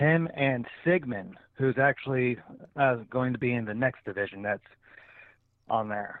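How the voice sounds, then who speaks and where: A man speaks with an American accent at a medium pitch. He keeps a fairly slow pace. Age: 30s. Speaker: professional wrestler. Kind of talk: casual interview.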